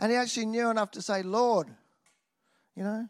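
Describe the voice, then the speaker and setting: A speaker with an Australian accent has an animated tone and ordinary pitch variation. The recording is very clean, with a silent background. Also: man. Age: 50s. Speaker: preacher. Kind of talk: sermon.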